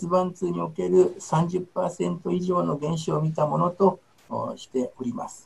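A man is speaking. His pace is very slow. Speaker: gynecologist. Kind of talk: lecture. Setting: video call. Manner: halting, many fillers.

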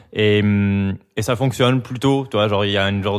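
Over background music, a man talks at a fairly quick pace and medium pitch, his intonation fairly even. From France, Biarritz (Basque coast) and Paris. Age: 30s. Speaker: graphic designer and amateur DJ. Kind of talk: casual chat.

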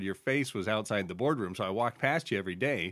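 A man with an American accent talks at a very fast pace in a fairly low voice. His intonation is lively. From Central Oregon, US. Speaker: state representative and podcast host. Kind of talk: interview conversation.

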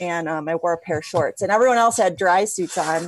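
A woman speaks fairly quickly in an unremarkable speaking voice with ordinary pitch variation. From Ohio. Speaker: stand up paddleboarding pioneer and fitness coach. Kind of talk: casual chat.

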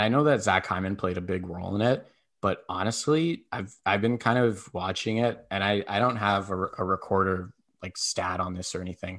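Against a quiet background, a man with a fairly low pitch and ordinary pitch variation talks in an unremarkable speaking voice. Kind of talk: heated sports talk banter, rapid-fire hockey rant with jokes.

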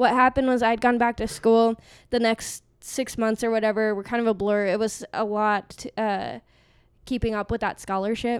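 A woman with an American accent speaks in a monotone, flat intonation at a fairly high pitch, with a dry, close sound and no echo. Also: moderate pace, very clean recording, silent background. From Arizona. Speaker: podcast guest, former conspiracy theorist. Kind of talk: casual chat.

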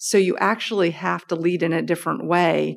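In a very clean recording with a silent background, a woman speaks in an American accent at a fairly low pitch. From United States. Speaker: business executive. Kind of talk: interview. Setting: office.

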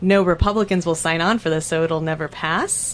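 At a moderate pace, an ordinary speaking voice talks with an American accent. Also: woman. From southern Oregon, Douglas County. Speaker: special education teacher. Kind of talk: casual chat.

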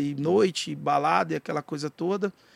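The man's speech carries ordinary pitch variation. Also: dry, close sound with no echo. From Goiás, Brazil (Jataí). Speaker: rapper and pastor. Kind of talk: casual chat.

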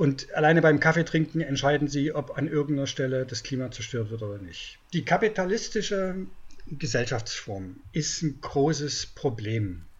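This man talks at a moderate pace in a fairly high pitch. His intonation is lively and his voice somewhat breathy. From East Germany. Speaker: journalist and book author. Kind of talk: interview.

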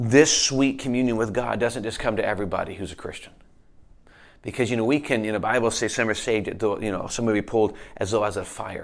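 A man's plain, everyday voice at medium pitch, fairly quick and fairly even in intonation, with an American accent. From Michigan, then Pennsylvania from age 14. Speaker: pastor. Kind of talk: sermon. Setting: church. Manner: conversational with frequent fillers.

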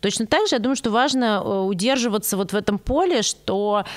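A woman is speaking. Her pace is fairly quick. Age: 30s. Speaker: psychologist / analyst. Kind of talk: casual chat.

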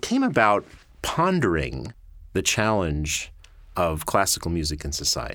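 On a very clean recording with a silent background, a man speaks with an American accent. His pitch swings very widely. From New York, Long Island. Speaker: orchestra conductor. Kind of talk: interview. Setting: studio.

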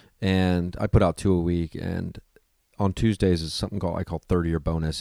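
With an American accent, a man talks at a fairly quick pace in a very deep, low pitch and a dark, mellow tone, his intonation fairly even, the sound dry and close with no echo on a very clean recording with a silent background. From US Midwest, Ohio. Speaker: stand-up comedian. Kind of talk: casual interview chat.

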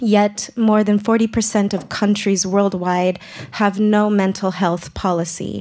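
Her pitch sits at a medium level for a woman, with monotone, flat intonation. She speaks at a very slow pace and keeps her loudness very even. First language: English (speaking Swedish). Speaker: radio presenter, clubhouse member. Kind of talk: prepared speech; live radio presenting. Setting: live broadcast before studio audience.

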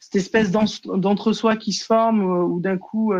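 A woman in a normal speaking voice, fairly even intonation and a moderate pace over a quiet background. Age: 30s. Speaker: prevention and training officer. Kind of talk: casual chat.

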